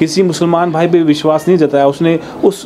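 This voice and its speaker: There is light background noise. Over it, a man talks at a moderate pace. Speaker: vlogger reporting on a needy family. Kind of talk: piece to camera. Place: street.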